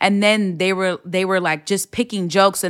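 On a very clean recording with a silent background, a woman with an American accent speaks in a normal speaking voice at a medium pitch. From Los Angeles, California. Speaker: comedian and podcast host. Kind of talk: casual chat.

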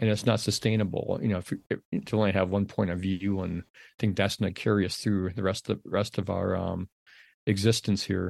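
Against a quiet background, a man with an American accent talks at a moderate pace. His fairly low pitch stays monotone, with flat intonation. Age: 60s. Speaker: outdoor writer. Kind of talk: interview conversation. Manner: halting, many repetitions.

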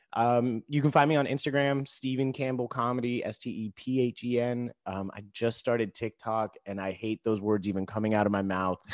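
A man in a normal speaking voice, medium pitch, fairly even intonation, a fairly quick pace with hardly any pauses, and a dry, close sound with no echo. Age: 30s. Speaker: stand-up comedian and social entrepreneur. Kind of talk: casual interview.

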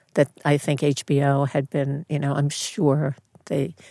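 In a New York accent, a woman with a very deep, low pitch speaks at a fairly slow pace, the sound dry and close with no echo. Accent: Bronx New York. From New York, the Bronx. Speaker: casting director. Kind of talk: interview conversation. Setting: studio.

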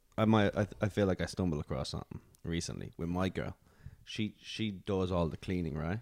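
A man with an Irish accent speaks fairly quickly at a very deep, low pitch with ordinary pitch variation on a very clean recording with a silent background. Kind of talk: casual chat.

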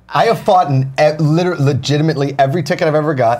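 A man talks very fast in an American accent at a fairly high pitch. His pitch varies in an ordinary way, and there is noticeable background noise. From Pittsburgh, US. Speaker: guest, aspiring game show host. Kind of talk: casual chat.

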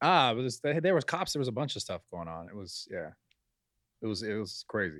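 Vocal fry runs through this man's medium-pitched voice. He talks at a fairly quick pace with very wide pitch swings. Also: very clean recording, silent background. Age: 30s. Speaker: podcast co-host. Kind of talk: casual chat.

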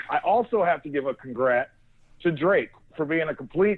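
A man with an American accent talks at a fairly quick pace. He has an unremarkable speaking voice. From Northeast Ohio. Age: 40s. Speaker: sports reporter and podcast co-host. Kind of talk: casual chat. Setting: phone call from a hotel room.

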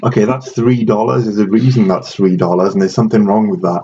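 This man talks at a moderate pace with a Welsh accent. His intonation is lively. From Wales. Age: 30s. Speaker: professor and jiu-jitsu breathing coach. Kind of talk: casual chat.

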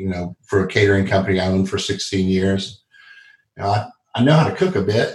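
A man's somewhat breathy, fairly low voice with an American accent. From Texas (Dallas). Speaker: restaurant founder and chef. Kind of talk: interview.

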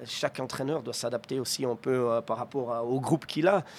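Fairly quick speech from a man at a medium pitch. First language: Swiss German (speaking French). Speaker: ice hockey coach. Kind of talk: interview. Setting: arena box.

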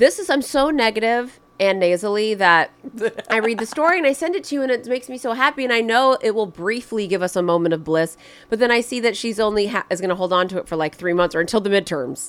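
With noticeable noise behind her, a woman talks very fast in a fairly high voice with lively intonation. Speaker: podcast co-host. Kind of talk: casual chat. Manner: animated.

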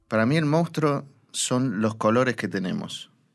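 A man speaks at a fairly slow pace with ordinary pitch variation, in a normal speaking voice. The recording is very clean, with a silent background. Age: 40s. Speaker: monster expert. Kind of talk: interview.

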